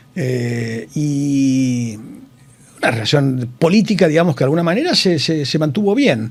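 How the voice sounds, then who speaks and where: Fairly high in pitch, this man talks with lively intonation. Noticeable background noise and audible room echo fill the recording. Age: 60s. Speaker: engineer and hospital director. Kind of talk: interview. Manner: halting, many fillers.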